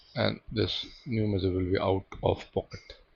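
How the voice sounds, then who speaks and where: This man's fairly low voice carries vocal fry. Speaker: data analytics tutor. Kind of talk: tutorial. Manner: slow; halting, many repetitions and fillers.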